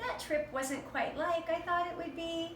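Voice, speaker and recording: A woman puts on a squeaky character voice with a warm, upbeat tone, speaking at a moderate pace over clear background noise with a slight echo. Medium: read story.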